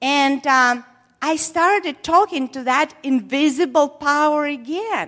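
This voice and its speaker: Over a very clean recording with a silent background, a woman with a non-native accent speaks fairly slowly in a high pitch, her tone bright and sharp and her pitch variation ordinary. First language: not English. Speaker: preacher. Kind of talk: sermon. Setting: church. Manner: halting.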